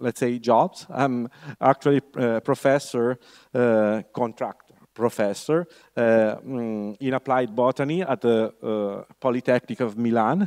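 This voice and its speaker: In an Italian accent, a man speaks at a fairly slow pace and medium pitch with ordinary variation, the sound dry and close with no echo and the background quiet. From Italy. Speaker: university lecturer. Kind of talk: lecture. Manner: halting, many fillers.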